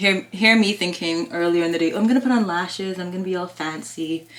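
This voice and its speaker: At a fairly quick pace, a woman talks in a fairly low voice with ordinary pitch variation. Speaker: lifestyle vlogger. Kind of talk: casual vlog chat. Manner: fast.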